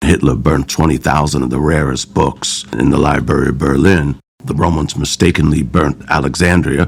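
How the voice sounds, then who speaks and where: An American-accented man with a very deep, low pitch speaks at a moderate pace. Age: 60s. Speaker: literacy center director. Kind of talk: interview testimony.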